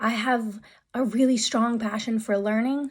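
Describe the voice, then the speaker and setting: A somewhat breathy, fairly high-pitched woman's voice at a moderate pace, with monotone, flat intonation, in a very clean recording with a silent background. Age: 30s. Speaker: vlogger. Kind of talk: personal vlog monologue. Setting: sitting in a room. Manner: halting.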